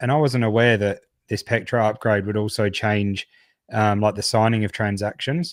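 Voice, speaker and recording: On a very clean recording with a silent background, a man with an Australian accent and a fairly low pitch talks at a moderate pace. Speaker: crypto podcast co-host. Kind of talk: casual chat.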